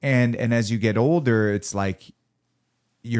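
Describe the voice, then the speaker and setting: On a very clean recording with a silent background, the speaker has a plain, everyday voice with ordinary pitch variation. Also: man. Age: 30s. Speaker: podcast host. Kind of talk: casual chat.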